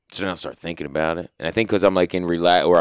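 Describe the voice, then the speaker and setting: Delivered at a very fast pace with vocal fry, this is a very clean recording with a silent background. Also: man. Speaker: podcast host. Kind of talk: casual chat. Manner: laughs often, casual slang.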